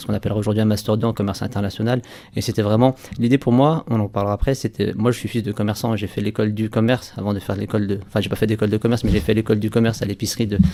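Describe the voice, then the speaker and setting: Speaking very fast, a man uses a North African accent. His fairly low voice stays monotone and flat. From France, Saint-Étienne. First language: Berber (speaking French). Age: 30s. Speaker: entrepreneur. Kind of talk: radio interview. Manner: hesitant, many repeated words.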